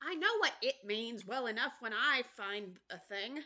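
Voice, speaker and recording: A put-on character voice comes across as a female-sounding voice with a fairly high pitch for a woman. It moves at a moderate pace. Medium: read story.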